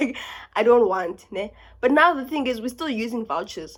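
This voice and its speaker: On a very clean recording with a silent background, a woman with a South African accent talks at a moderate pace with ordinary pitch variation. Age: 20s. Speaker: university student. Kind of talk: casual talk to camera.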